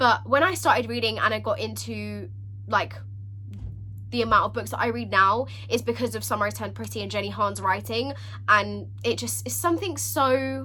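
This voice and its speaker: There is noticeable background noise and audible room echo. Through it, a woman talks at a moderate pace. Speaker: book vlogger. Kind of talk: casual vlog talk. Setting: filming at home with a ring light. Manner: animated.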